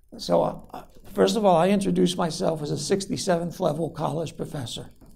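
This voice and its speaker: In a room with audible echo, the speaker's dark, mellow voice moves at a fairly quick pace with ordinary pitch variation. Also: man, high pitch for a man. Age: 60s. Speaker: college professor. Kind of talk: lecture.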